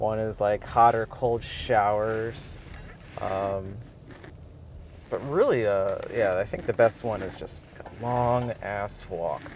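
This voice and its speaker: A man's speech comes through with noticeable noise in the background. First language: not Japanese (learning it). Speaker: language learner vlogger. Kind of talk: casual vlog monologue. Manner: casual, halting with fillers.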